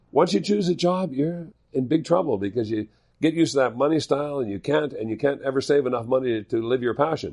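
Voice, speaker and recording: Speaking with a Canadian Prairies accent, a man uses lively intonation at a medium pitch. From Manitoba, Canada. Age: 60s. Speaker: curling equipment entrepreneur and former curler. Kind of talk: podcast interview.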